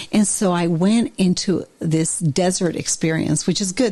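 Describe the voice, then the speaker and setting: A woman speaks at a moderate pace. Her tone is animated. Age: 60s. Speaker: therapist and author, podcast host. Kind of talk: casual interview conversation.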